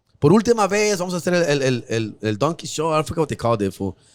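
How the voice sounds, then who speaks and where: With an American accent, a man talks at a very fast pace in an animated tone. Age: 40s. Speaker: comedian. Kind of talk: casual chat.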